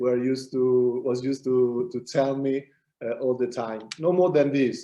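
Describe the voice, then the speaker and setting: A man speaks with an Italian accent. His voice has a medium pitch and a dark, mellow tone. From Italy. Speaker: business consultant. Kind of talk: interview. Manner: halting.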